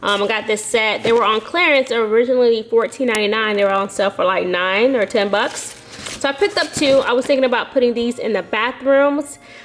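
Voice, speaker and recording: A woman's fairly high-pitched voice at a fairly quick pace, with ordinary pitch variation and noticeable background noise. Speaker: home decor vlogger. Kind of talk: casual haul video. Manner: fast.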